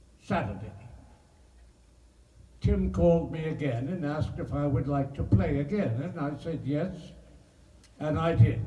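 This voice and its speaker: A man with a dark, mellow tone and vocal fry speaks at a fairly high pitch and a moderate pace. His pitch swings very widely, and he leaves long, frequent pauses. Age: 80s+. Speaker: actor. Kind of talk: interview answer.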